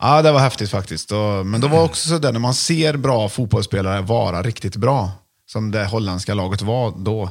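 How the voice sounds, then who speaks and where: An ordinary speaking voice moves at a moderate pace. There is no background sound, and the recording is very clean. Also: man, fairly low pitch for a man, lively intonation. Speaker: podcast host. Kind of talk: casual chat.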